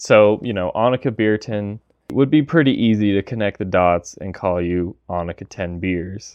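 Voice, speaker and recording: Fairly low-pitched, a man talks at a moderate pace with ordinary pitch variation in an unremarkable speaking voice. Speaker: gear reviewer. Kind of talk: interview.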